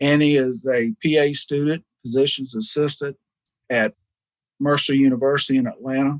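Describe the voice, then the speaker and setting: Speaking at a moderate pace with a Southern US accent, a man has a fairly high pitch and ordinary pitch variation, in a dry, close sound with no echo. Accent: Southern US (Georgia). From US South, Georgia (Savannah area). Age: 60s. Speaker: foundation founder, businessman. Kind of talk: radio interview. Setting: studio.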